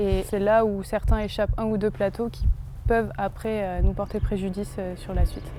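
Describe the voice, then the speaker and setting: A woman's medium-pitched, monotone, flat voice at a moderate pace, with noticeable background noise. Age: 20s. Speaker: sport shooter. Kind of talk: explanatory interview.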